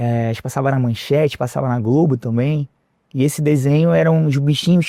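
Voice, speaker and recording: A man with a fairly high pitch and fairly even intonation at a fairly quick pace, dry and close with no echo, over a quiet background. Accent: Rio de Janeiro. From Rio de Janeiro, Brazil. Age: 40s. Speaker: entrepreneur. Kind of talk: interview.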